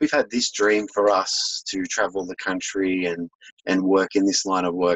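A man speaks with an Australian accent in a fairly low pitch. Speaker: holistic health business owner. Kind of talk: interview.

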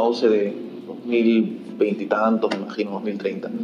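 A man's voice carries audible room echo. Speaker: podcast host. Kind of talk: interview.

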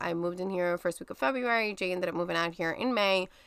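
On a very clean recording with a silent background, a woman with a New York accent speaks very fast in a bright, sharp tone. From New York (Brooklyn). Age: 30s. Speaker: guest sharing infertility story. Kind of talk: casual interview, personal story.

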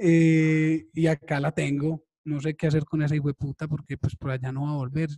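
The man's fairly high voice has a dark, mellow tone and a somewhat breathy quality, moving at a moderate pace with monotone, flat intonation in a dry, close sound with no echo. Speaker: podcast host, digital marketing copywriter. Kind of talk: casual chat.

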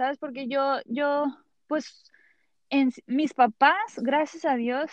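A woman with a high voice speaks at a very slow pace. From California, of Mexican family from Jalisco. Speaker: actress. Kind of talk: casual interview.

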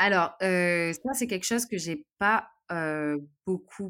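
A woman's fairly low voice at a fairly slow pace, with ordinary pitch variation, on a very clean recording with a silent background. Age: 30s. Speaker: travel YouTuber. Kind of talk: interview. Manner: halting, many repetitions and fillers.

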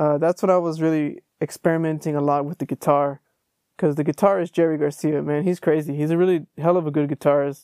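Speaking very fast with a Texan accent, a man uses a fairly high voice with a dark, mellow tone and monotone, flat intonation, recorded with a dry, close sound and no echo. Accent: Texan American English. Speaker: podcast host. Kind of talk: casual solo monologue. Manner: relaxed, conversational.

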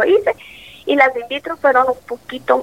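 Against noticeable background noise, a woman speaks at a moderate pace in a high voice, with a dry, close sound and no echo. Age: 40s. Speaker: mother sharing life story. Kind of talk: testimony.

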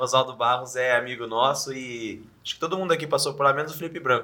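Over noticeable background noise, a man with a São Paulo interior accent talks at a very fast pace with hardly any pauses, his fairly high voice showing fairly even intonation and big swings in loudness. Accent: Sorocaba interior paulista. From interior of São Paulo state, Brazil (Sorocaba). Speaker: podcast co-host. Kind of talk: casual chat.

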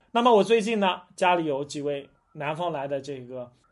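A man with a normal speaking voice, lively intonation and a moderate pace, against a quiet background. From China, Jiangsu (Huai'an). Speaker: history and food podcast host. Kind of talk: solo monologue talk. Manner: conversational with many fillers.

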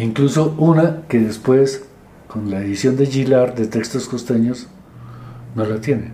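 Somewhat breathy and dark, mellow in tone, a man speaks at a fairly slow pace and medium pitch with ordinary pitch variation, with audible room echo around him. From Colombia, Medellín (Antioquia). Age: 70s. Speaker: literature professor and critic. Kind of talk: interview, life story.

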